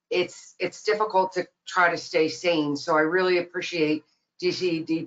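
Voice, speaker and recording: A woman with a plain, everyday voice speaks at a moderate pace with a fairly low pitch. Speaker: nonprofit president. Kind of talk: webinar presentation. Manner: many fillers, um and uh.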